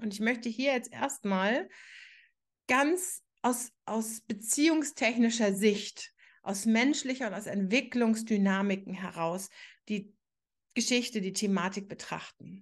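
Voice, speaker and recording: A woman's somewhat breathy, fairly high voice at a very slow pace, with ordinary pitch variation against a quiet background. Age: 40s. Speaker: podcast host, astrologer and relationship coach. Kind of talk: solo podcast monologue.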